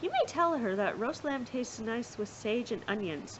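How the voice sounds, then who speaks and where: Over clear background noise, a woman in a put-on character voice growls at a moderate pace with a fairly high pitch. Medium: read story. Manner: growling.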